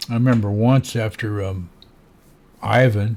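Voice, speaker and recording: The voice belongs to a man with an American accent. His tone is dark and mellow. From Florida, USA. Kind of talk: casual talk to camera.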